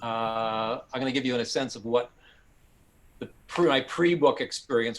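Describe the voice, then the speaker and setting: A man speaks with a Canadian accent. His pitch variation is ordinary. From Canada, Toronto. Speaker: author and journalist. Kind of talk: talk to an audience. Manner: halting, with frequent fillers.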